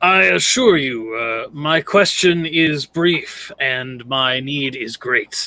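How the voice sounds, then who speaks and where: A man puts on a character voice pitched fairly high. He speaks at a very slow pace. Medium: actual play. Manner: archaic, formal.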